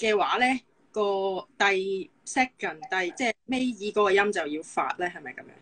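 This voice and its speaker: A woman at medium pitch, fairly slow, with big swings in loudness, against a quiet background. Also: lively intonation. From Hong Kong. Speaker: physiotherapist; guest. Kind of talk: casual chat. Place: home room. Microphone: video call.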